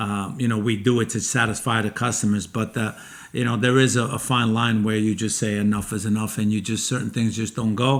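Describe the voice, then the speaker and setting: Here is a man with an American accent and a normal speaking voice. His pitch is medium and his intonation fairly even. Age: 60s. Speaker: chef and restaurant owner. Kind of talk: casual chat.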